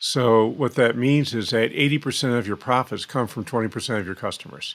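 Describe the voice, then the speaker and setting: A man with an unremarkable speaking voice, medium in pitch, at a fairly quick pace with fairly even intonation. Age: 60s. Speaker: financial planning consultant and author. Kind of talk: podcast interview.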